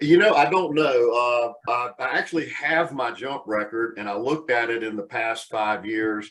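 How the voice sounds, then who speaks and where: An ordinary speaking voice with an American accent, at a moderate pace with ordinary pitch variation. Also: man, medium pitch for a man, hardly any pauses. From US South, Charlotte, North Carolina. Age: 60s. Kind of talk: webcast interview.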